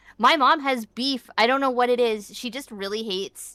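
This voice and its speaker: A woman talks at a fairly slow pace. There is music in the background. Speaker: vtuber streamer. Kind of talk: casual chat.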